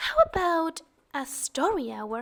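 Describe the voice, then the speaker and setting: A woman's high, put-on character voice with lively intonation. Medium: read story.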